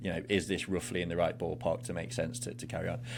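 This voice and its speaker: In an English accent, a man speaks at a very fast pace on a very clean recording with a silent background. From England. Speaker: glamping business founder. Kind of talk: interview. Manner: halting with repetitions.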